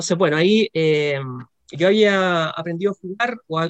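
A man talks at a fairly slow pace with a high pitch and ordinary pitch variation. The sound is dry and close with no echo. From Chile. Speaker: psychologist and chess instructor. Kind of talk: casual interview.

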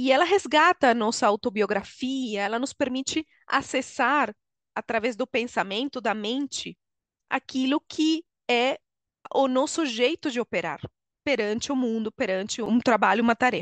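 A high-pitched woman with a Venezuelan accent, moderate pace and ordinary pitch variation, in a dry, close sound with no echo over a quiet background. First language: Spanish (speaking Portuguese). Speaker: HR consultant and coach. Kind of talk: interview.

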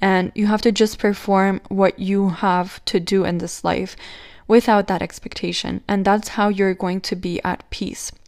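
With a non-native accent, a woman speaks fairly slowly at a medium pitch in a monotone, flat way. The recording is very clean, the background silent. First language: not English. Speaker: spiritual podcast host. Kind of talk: solo podcast monologue. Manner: casual, slightly halting.

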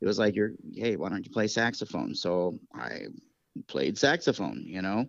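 The speaker has an American accent, lively intonation and vocal fry. The pace is moderate. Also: man. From upstate New York. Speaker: saxophonist and music teacher. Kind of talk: interview. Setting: phone call.

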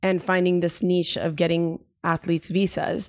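At a fairly slow pace, a woman speaks in a plain, everyday voice with a fairly low pitch. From Miami, Cuban-American family. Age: 30s. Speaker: lawyer and nonprofit founder. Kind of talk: podcast interview.

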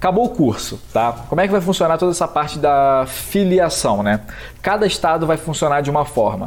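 Talking at a fairly quick pace, a man with an ordinary speaking voice uses lively intonation. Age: 20s. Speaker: American football referee. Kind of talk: casual chat.

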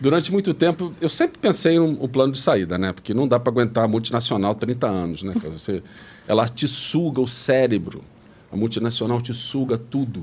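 A man talks at a fairly quick pace in an unremarkable speaking voice of medium pitch. His intonation is lively. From Brazil, Rio de Janeiro. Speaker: retired tech executive. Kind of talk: interview.

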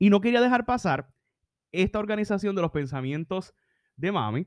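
High-pitched male speech with a Puerto Rican accent, lively intonation and an animated tone, dry and close with no echo over a quiet background. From Puerto Rico. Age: 30s. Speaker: leadership podcaster. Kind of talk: solo podcast reflection.

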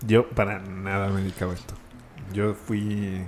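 With music in the background and audible room echo, a man with a Mexico City accent speaks very slowly in a fairly low pitch. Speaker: architect and render artist. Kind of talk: casual chat.

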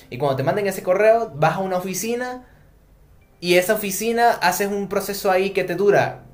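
This man's voice sits at a high pitch. His pitch variation is ordinary. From Venezuela. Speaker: podcast co-host. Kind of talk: casual chat.

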